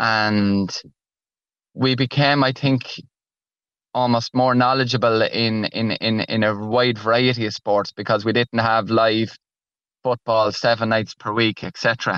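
In an Irish Midlands accent, a man talks at a fairly slow pace with monotone, flat intonation. The sound is dry and close with no echo, over a quiet background. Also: medium pitch for a man. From Ireland, Laois (Emo). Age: 40s. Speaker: author and primary school teacher. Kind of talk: radio interview.

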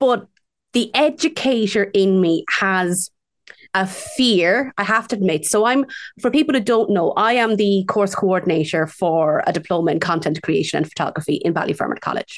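The speaker has an Irish Midlands accent and lively intonation. The background is quiet. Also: woman, medium pitch for a woman, moderate pace, very even loudness. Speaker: local radio host. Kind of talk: radio show presenting. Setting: radio studio.

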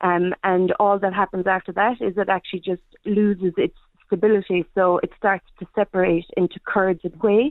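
With a Kerry accent, a woman talks at a moderate pace, her pitch medium and her intonation fairly even. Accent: Kerry Irish. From Ireland, County Kerry. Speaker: small food business owner. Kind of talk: radio interview. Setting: phone call.

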